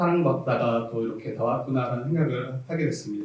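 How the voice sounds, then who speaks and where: Through audible room echo and noticeable background noise, a man speaks at a medium pitch with ordinary pitch variation. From South Jeolla, Korea. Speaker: pastor. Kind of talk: sermon. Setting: church.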